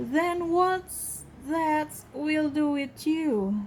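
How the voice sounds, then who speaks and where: A woman uses a put-on character voice at a high pitch with ordinary pitch variation, with clear background noise behind her. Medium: read story.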